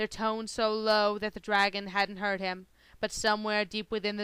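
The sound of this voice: An unforced reading voice is heard here.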